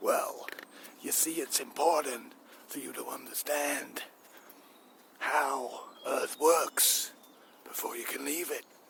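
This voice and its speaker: Using a put-on character voice, a man speaks at a fairly slow pace with long, frequent pauses. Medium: solo performance.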